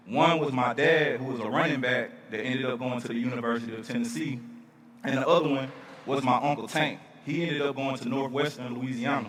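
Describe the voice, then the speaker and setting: A man with an American accent talks at a very fast pace in a medium pitch with fairly even intonation, amid noticeable background noise and audible room echo. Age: 30s. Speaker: speaker at charity event. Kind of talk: storytelling speech.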